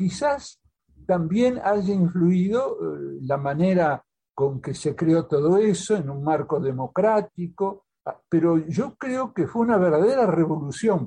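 Very slowly, a man with a high pitch speaks in a dark, mellow tone with lively intonation. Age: 80s+. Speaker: diplomat and author. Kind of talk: interview. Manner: halting, many repetitions.

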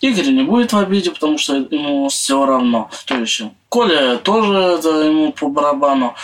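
A man's pitch swings very widely as he speaks at a moderate speed over noticeable background noise. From Siberia, Russia (Belovo, Kemerovo region). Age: 20s. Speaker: homeless man. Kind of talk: interview.

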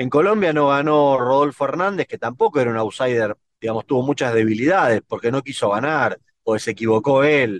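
A man speaks at a fairly quick pace in an unremarkable speaking voice, his pitch medium with ordinary variation. The sound is dry and close, with no echo. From Argentina. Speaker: political consultant and analyst. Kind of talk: interview.

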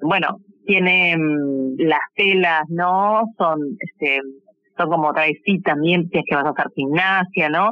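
A woman talks at a very slow pace with a fairly low pitch. Her loudness stays very even. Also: ordinary pitch variation. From Uruguay. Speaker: fashion designer. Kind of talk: interview. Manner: halting.

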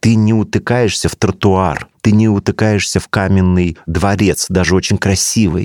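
A man's fairly low voice at a very slow pace, in a dry, close sound with no echo. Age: 50s. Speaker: theatre director and producer. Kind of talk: interview conversation. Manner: animated; repetitive, halting at times.

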